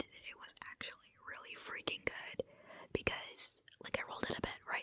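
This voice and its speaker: Every word comes out in a whisper. The delivery moves at a moderate pace. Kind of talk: casual vlog talk to camera. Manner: whispered; casual, rambling.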